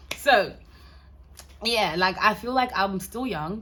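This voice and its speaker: With an American accent, a woman talks in a bright, sharp, animated tone with vocal fry. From Ghana. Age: 20s. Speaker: lifestyle vlogger. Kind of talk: casual chat to camera.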